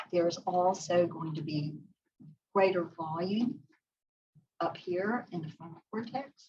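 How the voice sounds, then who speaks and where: The pace here is fairly slow, with ordinary pitch variation. The voice is somewhat breathy. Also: woman. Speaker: psychologist. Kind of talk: lecture.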